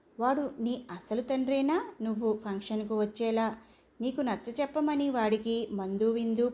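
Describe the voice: Someone reads a text aloud plainly.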